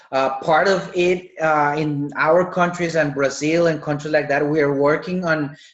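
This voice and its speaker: The speaker has a Spanish accent and moves at a fairly slow pace. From Colombia. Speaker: medical doctor. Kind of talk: webinar Q&A.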